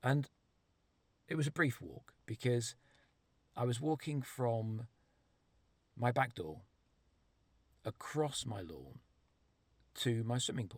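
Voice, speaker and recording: A man with a medium pitch and a somewhat breathy voice speaks at a very slow pace, with long, frequent pauses, big swings in loudness, and ordinary pitch variation. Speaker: storyteller vlogger. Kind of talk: personal storytelling monologue.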